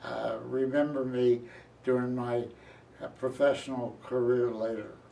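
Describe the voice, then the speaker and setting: A man with an American accent speaks fairly slowly at a medium pitch. His intonation is monotone and flat, with audible room echo. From Philadelphia area, US. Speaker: retired journalist. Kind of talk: oral history interview.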